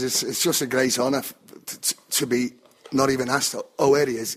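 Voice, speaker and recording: Someone talks at a fairly quick pace with a Liverpool accent. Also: man. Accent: Scouse (Liverpool). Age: 60s. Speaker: football fan. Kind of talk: interview.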